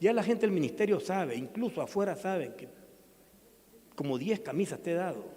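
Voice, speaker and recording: Here a man speaks in a high voice at a moderate pace. His intonation is lively. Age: 60s. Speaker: pastor. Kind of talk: sermon.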